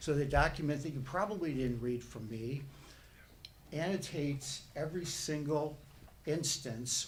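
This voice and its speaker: A man's somewhat breathy voice at a fairly slow pace, with audible room echo. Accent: Chicago. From northern US. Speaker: resident speaking at public hearing. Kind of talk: public comment at planning meeting.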